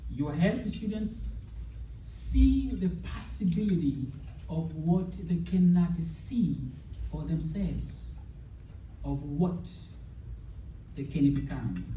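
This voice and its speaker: A man at a very slow pace with long, frequent pauses, in audible room echo, with noticeable background noise. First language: not English. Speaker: educator, speaker. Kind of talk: speech to teachers. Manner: hesitant, with fillers.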